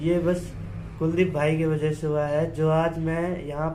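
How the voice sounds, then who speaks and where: Noticeable background noise and audible room echo surround a man whose fairly high voice stays monotone and flat. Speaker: voice therapy client. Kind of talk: testimony.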